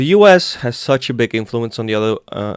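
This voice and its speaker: A man with a Greek accent, medium pitch and a fairly quick pace, in a dry, close sound with no echo. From Greece. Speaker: religious meme YouTuber. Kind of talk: casual Q&A vlog. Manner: halting.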